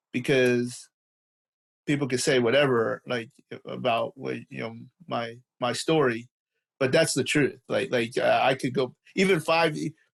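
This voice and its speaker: Male voice with vocal fry, fairly slow and broken by long, frequent pauses. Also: medium pitch for a man, ordinary pitch variation. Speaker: physical therapist and performance coach. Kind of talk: podcast interview. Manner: halting, many repetitions and fillers.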